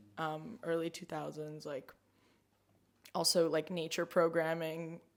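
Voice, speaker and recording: A woman with an American accent talks in a fairly low pitch. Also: long, frequent pauses, big swings in loudness. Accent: sort of American. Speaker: climate activist. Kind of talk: casual chat. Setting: home kitchen. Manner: halting, many fillers.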